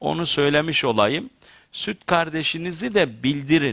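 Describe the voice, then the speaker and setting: Over a quiet background, a man talks at a fairly slow pace in a bright, sharp tone. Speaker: theologian talk show host. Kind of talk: religious talk to studio audience. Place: studio. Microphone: headset.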